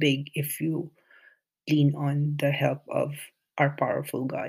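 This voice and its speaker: Very slowly and somewhat breathily, a man with a fairly high pitch speaks with a Filipino accent in a monotone, flat intonation. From Philippines. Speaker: nurse and podcaster. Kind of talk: solo monologue, reading a blog excerpt. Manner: halting, hesitant with fillers.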